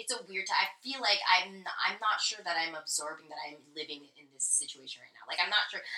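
A woman with an American accent talks at a fairly quick pace in a medium pitch, with ordinary pitch variation. It is an ordinary speaking voice. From US. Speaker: podcast co-host. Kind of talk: casual chat. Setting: Instagram live stream.

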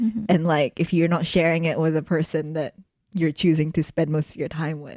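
Speaking at a fairly quick pace, a woman has a fairly low voice with a dark, mellow tone and fairly even intonation. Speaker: podcast co-host.

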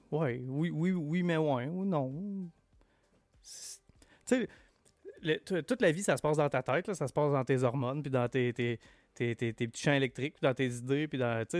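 A man's fairly high voice at a fairly slow pace, with ordinary pitch variation, long, frequent pauses and a dry, close sound with no echo. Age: 40s. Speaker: podcast guest. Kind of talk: casual chat.

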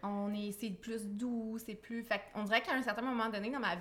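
Her fairly high voice keeps a fairly even intonation as the woman talks at a moderate pace. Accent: Quebec. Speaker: blogger and entrepreneur. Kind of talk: podcast interview testimony.

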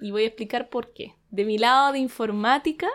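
Speaking with a Chilean accent, a woman uses a high pitch and ordinary pitch variation. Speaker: podcast co-host. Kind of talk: casual chat.

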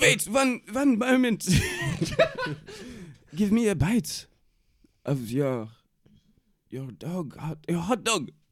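Putting on a character voice, a man speaks very slowly at a high pitch with a slightly husky edge, very wide pitch swings, and long, frequent pauses.

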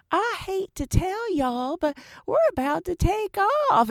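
A female-sounding, put-on character voice uses an extremely high pitch in a Southern US accent. It drawls along at a moderate pace. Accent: Southern American. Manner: very slow drawl.

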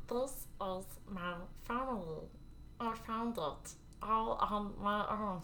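In a put-on character voice that sounds female, someone speaks at a medium pitch and a fairly slow pace with long, frequent pauses over clear background noise.

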